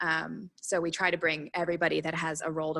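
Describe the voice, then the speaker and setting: A woman's bright, sharp tone at a very deep, low pitch, with vocal fry and monotone, flat intonation, in a dry, close sound with no echo. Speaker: recruitment startup speaker. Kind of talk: workshop presentation. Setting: workshop with small audience. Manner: fast.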